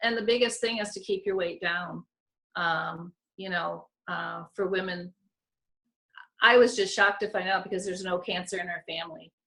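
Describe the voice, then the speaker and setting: A woman with a bright, sharp tone and vocal fry speaks at a moderate pace with fairly even intonation. She leaves long, frequent pauses. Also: medium pitch for a woman. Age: 60s. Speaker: weight loss program member sharing testimony. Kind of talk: testimony.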